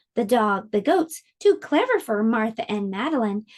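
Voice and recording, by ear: Against a quiet background, a natural voice reads a text aloud.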